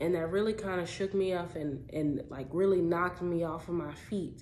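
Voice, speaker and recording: A woman speaks at a moderate pace with fairly even intonation and a fairly low pitch. Audible room echo surrounds her voice. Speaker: vlogger. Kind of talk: casual personal vlog.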